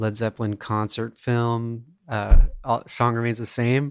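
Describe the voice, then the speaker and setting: On a very clean recording with a silent background, a man speaks at a medium pitch and a fairly slow pace. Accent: American. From Florida. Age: 30s. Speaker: music teacher intern. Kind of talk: interview. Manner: casual, many fillers.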